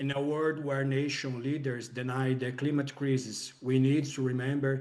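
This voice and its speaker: A man with a non-native accent, medium pitch, a moderate pace and a monotone, flat intonation. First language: not English. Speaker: filmmaker. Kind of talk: interview. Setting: video call. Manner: halting. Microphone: too quiet.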